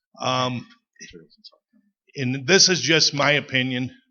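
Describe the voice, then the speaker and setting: A man with a Wisconsin accent and a medium-pitched voice talks at a fairly slow pace. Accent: Upper Midwest (Wisconsin). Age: 60s. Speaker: ATV club member. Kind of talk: audience comment at a public meeting.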